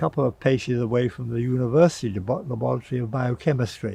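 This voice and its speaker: A man at a medium pitch, talking at a very fast pace. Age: 80s+. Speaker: physician and drug researcher. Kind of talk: interview answer.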